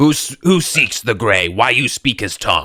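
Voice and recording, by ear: A man puts on a character voice, growling and booming at a medium pitch with very wide pitch swings. He keeps a moderate pace on a very clean recording with a silent background.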